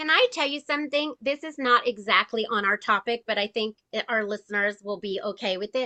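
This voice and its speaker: Hardly pausing, a woman talks at a fairly quick pace in an unremarkable speaking voice. Her pitch is fairly high, with ordinary pitch variation. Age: 50s. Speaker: registered dietitian and speaker coach. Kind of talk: casual chat.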